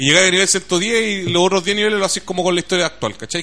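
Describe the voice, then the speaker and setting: Over noticeable background noise, a man talks at a fairly quick pace with a Chilean accent. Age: 20s. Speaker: radio host. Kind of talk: casual chat. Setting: studio. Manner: animated.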